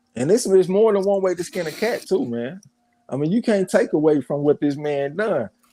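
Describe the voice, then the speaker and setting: Speaking in a Southern accent at a moderate pace, the voice has lively intonation and a dry, close sound with no echo. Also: man, high pitch for a man. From US South. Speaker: boxing show host. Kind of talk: casual chat.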